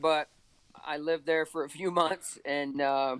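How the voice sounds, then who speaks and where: A man's fairly high voice in a Texas accent, fairly slow in pace and fairly even in intonation. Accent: Texas accent, southern twang. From north central Texas. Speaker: OCR coach. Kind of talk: podcast interview.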